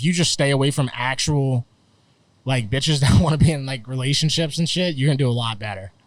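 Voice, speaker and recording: With an American accent and an unremarkable speaking voice, a man of medium pitch talks at a fairly quick pace with ordinary pitch variation. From Florida. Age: 30s. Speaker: comedian and internet personality. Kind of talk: casual chat. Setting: outdoors.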